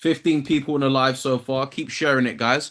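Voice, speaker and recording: With a British accent, a man speaks at a medium pitch and fairly even intonation on a very clean recording with a silent background. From London, England. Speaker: fitness content creator. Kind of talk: casual livestream chat. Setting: solo livestream. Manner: casual, hesitant with fillers.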